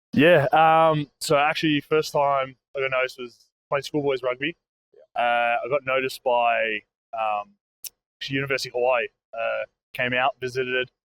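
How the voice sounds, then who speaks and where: A man with an Australian accent speaks at a moderate pace and medium pitch, with fairly even intonation, long, frequent pauses and a dry, close sound lacking echo. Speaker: college football player. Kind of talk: casual interview. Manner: halting, many fillers.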